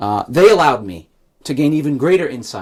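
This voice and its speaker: On a very clean recording with a silent background, a man with a New York accent talks at a moderate pace and fairly high pitch. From New York City, Staten Island. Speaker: political candidate and history professor. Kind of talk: campaign speech. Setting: in-person gathering with audience. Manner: reading prepared remarks.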